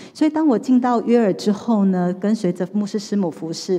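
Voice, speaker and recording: A woman's dark, mellow tone with ordinary pitch variation, against a quiet background. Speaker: pastor. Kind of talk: testimony. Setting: church. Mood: earnest personal testimony. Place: church. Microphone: handheld.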